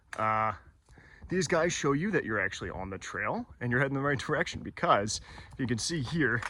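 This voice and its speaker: This man's medium-pitched voice has a bright, sharp tone and lively intonation at a moderate pace. Long pauses come often. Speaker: hiker vlogger. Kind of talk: outdoor vlog narration. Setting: outdoors on a hiking trail. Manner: hesitant, many fillers; soft-spoken.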